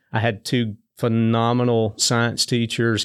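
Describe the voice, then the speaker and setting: This man has a medium pitch and a Southern US accent. The recording is very clean, with a silent background. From Tennessee. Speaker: state high school sports association director. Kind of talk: casual interview.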